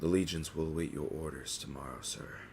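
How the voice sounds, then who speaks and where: Putting on a character voice, a man speaks at a very deep, low pitch and a fairly quick pace, with fairly even intonation over clear background noise. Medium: actual play. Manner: respectful, earnest.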